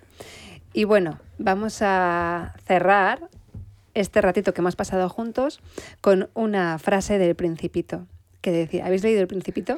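In a normal speaking voice, a woman talks at a fairly slow pace and medium pitch with ordinary pitch variation, in a very clean recording with a silent background. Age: 40s. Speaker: podcast host. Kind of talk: casual interview.

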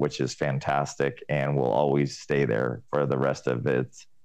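A man with an American accent talks at a moderate pace in a very deep, low voice with vocal fry. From Southern California. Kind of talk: interview.

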